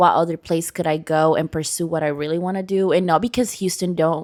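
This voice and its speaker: With a Venezuelan accent, a woman talks at a fairly quick pace in a fairly low pitch. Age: 20s. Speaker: podcast guest. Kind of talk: casual interview.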